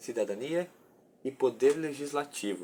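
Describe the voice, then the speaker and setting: A man speaks with a dark, mellow tone at a medium pitch. His pitch varies in an ordinary way, and his pace is moderate. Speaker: undergraduate student researcher. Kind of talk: research presentation.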